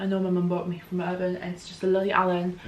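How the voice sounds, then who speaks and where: Talking very fast, a woman is heard with audible room echo. Noticeable background noise runs underneath. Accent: British. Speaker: youtuber. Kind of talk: haul video, casual talk to camera.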